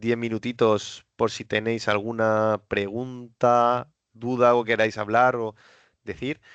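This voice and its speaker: Dry, close sound with no echo over a quiet background. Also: man. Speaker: cloud technical presenter. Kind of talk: webinar presentation. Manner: fast.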